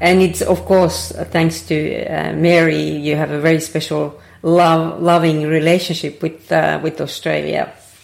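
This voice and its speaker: A woman speaks with a Finnish accent. Her pace is fairly slow. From Finland. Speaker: podcast host. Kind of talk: interview.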